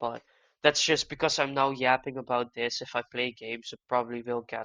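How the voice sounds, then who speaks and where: In a Dutch accent, the speaker moves along at a fairly quick pace. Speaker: gaming youtuber. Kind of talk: casual monologue. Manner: halting.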